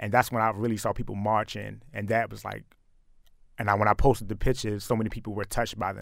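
Vocal fry runs through very fast speech in a very clean recording with a silent background. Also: man. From Baltimore, Maryland. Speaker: photographer and activist. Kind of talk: radio interview.

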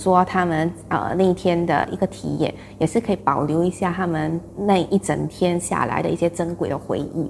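Over noticeable background noise, a woman with a fairly low pitch talks at a moderate pace with hardly any pauses. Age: 30s. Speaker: clan association committee member. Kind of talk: interview.

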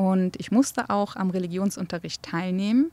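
In a Kurdish accent, a woman speaks at medium pitch with ordinary pitch variation. The very clean recording has a silent background and a dry, close sound with no echo. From Germany (grew up in a village from age six), born in Erbil. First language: Kurdish (speaking German). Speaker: archaeologist and game developer. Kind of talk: interview.

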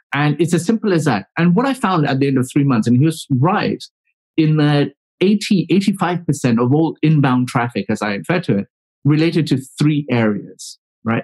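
A man with a normal speaking voice, fairly high in pitch, with lively intonation, a moderate pace and very even loudness, in a dry, close sound with no echo. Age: 40s. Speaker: public relations consultant. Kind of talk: casual chat.

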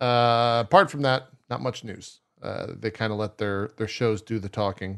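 Against a quiet background, a man speaks at a moderate pace and medium pitch. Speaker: podcast host. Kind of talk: casual chat. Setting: livestream. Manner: animated.

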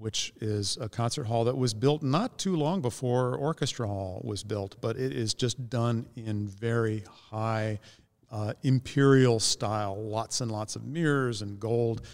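A man with an American accent speaks at a fairly slow pace in an ordinary speaking voice, medium in pitch with ordinary pitch variation, on a very clean recording with a silent background. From US Midwest, Northeast Ohio. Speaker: orchestra musician, bassoonist. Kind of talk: interview. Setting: ballroom of a concert venue.

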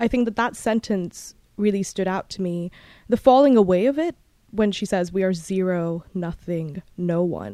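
A woman with a British accent talks at a moderate pace, her medium pitch showing ordinary variation and her tone dark and mellow. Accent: international British English. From Bahrain, British international schools. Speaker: book podcast host, graduate student. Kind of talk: book review monologue.

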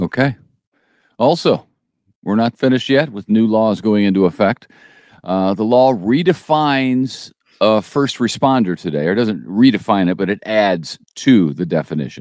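A man with an ordinary speaking voice at a fairly low pitch talks at a moderate pace with lively intonation, recorded very cleanly with a silent background and a dry, close sound with no echo. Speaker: news podcast co-host. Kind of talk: casual news chat.

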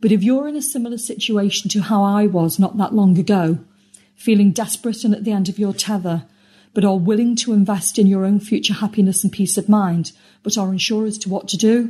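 Against a quiet background, a woman with a British accent speaks at a fairly quick pace and a medium pitch. Her tone is dark and mellow, somewhat breathy, with fairly even intonation. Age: 50s. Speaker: member testimonial. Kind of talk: testimony. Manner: scripted, read-aloud delivery.

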